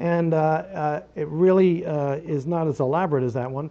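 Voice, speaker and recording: A man speaks with ordinary pitch variation. His voice sits fairly high for a man. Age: 60s. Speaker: guitar builder and guitarist. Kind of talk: interview. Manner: halting, many fillers.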